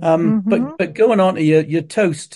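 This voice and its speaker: A man's high-pitched voice in an East Anglian accent, with a dark, mellow tone, ordinary pitch variation and a moderate pace. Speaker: tour guide and family history expert. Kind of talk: casual chat.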